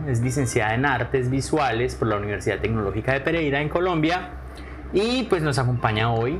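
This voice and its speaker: Over noticeable background noise, a man speaks at a fairly quick pace in a medium pitch, with ordinary pitch variation and very even loudness. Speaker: podcast host. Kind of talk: podcast interview questions.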